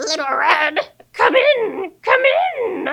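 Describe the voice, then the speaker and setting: An extremely high, raspy put-on character voice leaps through very wide pitch swings. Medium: read story. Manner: falsely sweet, sly.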